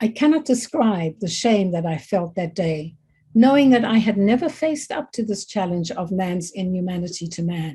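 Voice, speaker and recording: At a moderate pace, a woman speaks with medium pitch, a dark, mellow tone, lively intonation and a somewhat breathy quality. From Zambia. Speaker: keynote speaker. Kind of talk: keynote speech. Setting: online meeting.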